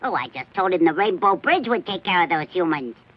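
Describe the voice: A cartoonish character voice at a middle pitch rattles along at a fairly quick pace.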